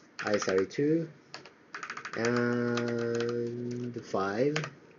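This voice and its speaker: Noticeable background noise beneath a man's voice at a medium pitch. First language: Japanese. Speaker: programming learner streamer. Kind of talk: live coding tutorial, reading docs aloud. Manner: halting, many fillers.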